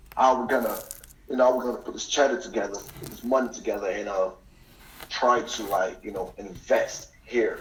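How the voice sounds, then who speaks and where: A man with an American accent speaks at a fairly quick pace, his loudness swinging widely, with audible room echo and noticeable background noise. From US Northeast (New York/New Jersey tri-state). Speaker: deportee, businessman. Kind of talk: casual chat. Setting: phone call.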